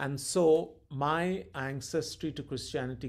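With ordinary pitch variation, the man talks very slowly. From India, Goa region. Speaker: Jesuit priest and researcher; Jesuit priest. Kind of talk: guided meditation; guest talk on mental health. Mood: calm, gentle. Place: home room.

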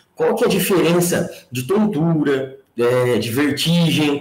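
Audible room echo follows this man's speech. Behind it there is light background noise. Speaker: invited lecturer. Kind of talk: lecture. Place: home room. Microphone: webcam.

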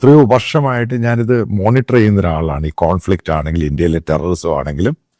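Very deep and low, a man's voice carries a dark, mellow tone and very wide pitch swings, sounding dry and close with no echo. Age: 50s. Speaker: political commentator. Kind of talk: opinion monologue.

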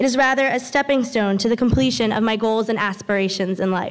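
A woman keeps a fairly quick pace, her pitch varying in an ordinary way. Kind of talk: formal speech. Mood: grateful, earnest. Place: hall. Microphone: podium.

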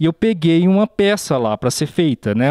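A man speaks at a moderate pace with lively intonation, his voice dry with no echo against a quiet background. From Brazil, Minas Gerais (Pirapora); Minas Gerais, Brazil. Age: 30s. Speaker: sculptor. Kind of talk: interview. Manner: halting. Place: garden. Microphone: handheld.

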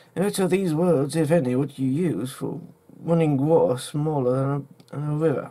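Noticeable background noise surrounds a voice with a British accent speaking at a moderate pace. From UK. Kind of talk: casual talk to camera.

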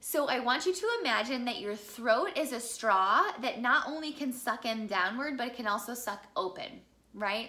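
A woman with an American accent speaks in a high pitch and an animated tone. Her intonation is lively and her pace moderate. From US Midwest. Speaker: singer and voice teacher; voice teacher. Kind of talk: tutorial. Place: home room.

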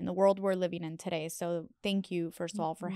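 Against a quiet background, a woman speaks with ordinary pitch variation in a dry sound with no echo. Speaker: podcast guest. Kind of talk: interview answer. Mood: warm, smiling, occasional laughs. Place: studio. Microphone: studio mic.

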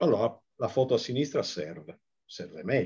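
This man's intonation is lively, with vocal fry in his voice. The background is quiet. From Sardinia, Sassari; Sardinia. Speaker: nature photographer and author. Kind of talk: book presentation talk. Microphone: video call.

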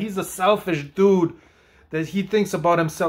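A man talks at a moderate pace in a high voice for a man. The background is quiet. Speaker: YouTube sports commentator; sports commentary vlogger. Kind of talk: video commentary reacting to clips. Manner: animated, opinionated, sarcastic. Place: home room. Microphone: phone near.

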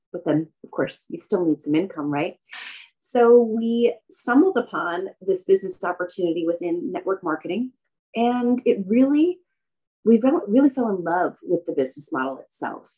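With an American accent and a dark, mellow tone, a woman talks at a moderate pace with lively intonation against a quiet background. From New York. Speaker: aromatherapist and business owner; podcast guest. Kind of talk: interview conversation. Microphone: video call.

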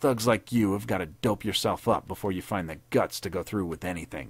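Someone performs a raspy, put-on character voice at a fairly quick pace. The recording is very clean, with a silent background. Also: man, very deep, low pitch for a man. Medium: read story. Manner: sneering, savage, bitter.

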